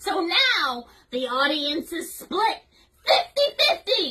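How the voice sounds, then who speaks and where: A woman uses a put-on character voice at an extremely high pitch, swinging very widely in pitch at a very slow pace. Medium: role play.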